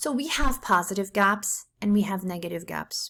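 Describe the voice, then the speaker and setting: A woman at a medium pitch with ordinary pitch variation and a fairly slow pace, in a very clean recording with a silent background. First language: not English (English is third language). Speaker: economics teacher. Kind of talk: lecture. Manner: casual, conversational with fillers.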